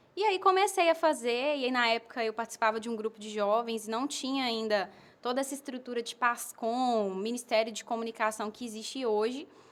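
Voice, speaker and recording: With a fairly high pitch and ordinary pitch variation, a woman talks at a fairly quick pace with hardly any pauses and big swings in loudness. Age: 20s. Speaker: advertising professional and missionary. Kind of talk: podcast interview. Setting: home.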